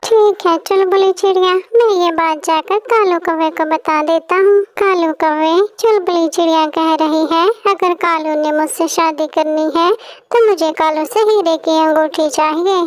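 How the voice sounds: A woman performs a cartoonish character voice. Her pitch is extremely high. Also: fairly slow pace.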